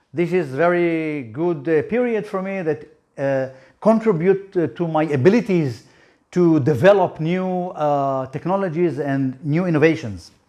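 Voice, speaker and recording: A man with an Israeli accent speaks at a fairly slow pace with ordinary pitch variation. His tone is dark and mellow, and the background is quiet. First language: Hebrew. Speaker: startup founder. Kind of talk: business presentation. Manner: halting.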